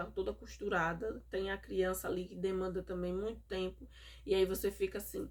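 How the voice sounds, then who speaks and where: In a northeastern Brazilian accent, a woman speaks at a moderate pace. The recording is very clean, with a silent background. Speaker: mother vlogger. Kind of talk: casual vlog monologue. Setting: home, recorded at night.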